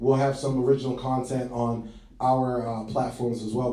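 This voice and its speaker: A man with an American accent speaks at a medium pitch and a moderate pace, his intonation monotone and flat. Noticeable background noise and audible room echo are present. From Boston, Massachusetts. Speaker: podcast host. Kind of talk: casual chat.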